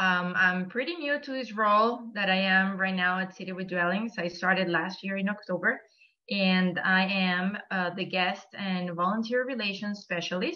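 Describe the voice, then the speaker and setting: A woman speaks with a Venezuelan accent and fairly even intonation. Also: medium pitch for a woman, moderate pace. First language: Spanish. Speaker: nonprofit volunteer coordinator. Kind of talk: presentation.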